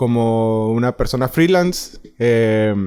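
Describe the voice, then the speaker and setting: A man speaks at a medium pitch with ordinary pitch variation in a very clean recording with a silent background. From northern Mexico, Ciudad Juárez. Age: 30s. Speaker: freelance filmmaker and journalist. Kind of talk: interview conversation. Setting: studio. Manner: halting, many fillers.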